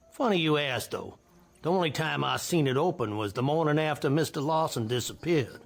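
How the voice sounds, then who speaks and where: A man puts on a drawling Southern US accent as a character voice, talking at a moderate pace over music in the background. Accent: rural Southern. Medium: fan dub. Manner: drawling, folksy.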